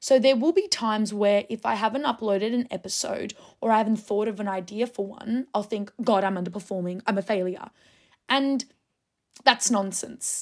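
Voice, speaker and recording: The speaker is a woman with an Australian accent. The recording is very clean, with a silent background. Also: fairly high pitch for a woman, fairly even intonation, moderate pace. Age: 20s. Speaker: podcast host. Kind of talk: casual monologue.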